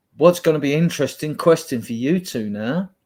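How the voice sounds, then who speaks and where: Ordinary pitch variation colors a man's speech at a moderate pace. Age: 60s. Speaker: football fan panelist. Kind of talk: casual chat.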